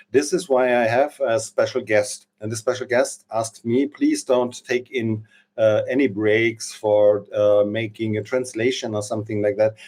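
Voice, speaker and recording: Speaking with a German accent, a man with a medium-pitched voice talks at a moderate pace in a fairly even intonation, with hardly any pauses. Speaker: interview show host. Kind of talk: interview. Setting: live stream. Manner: halting.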